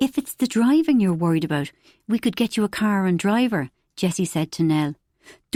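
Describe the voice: Plain reading aloud with lively intonation and a quiet background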